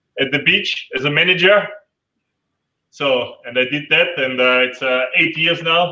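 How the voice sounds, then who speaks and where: A man speaks at a fairly slow pace and a fairly high pitch. Audible room echo is present. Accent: Austrian. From Austria. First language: German. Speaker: adventure tour operator. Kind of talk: online panel interview. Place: home room. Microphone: headset.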